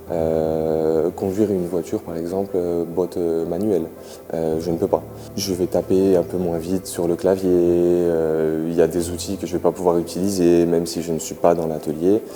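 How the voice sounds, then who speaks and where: Over background music, a man speaks at a moderate pace in a very deep, low voice. His intonation is flat and monotone. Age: 20s. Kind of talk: interview testimony. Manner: halting, many filler sounds.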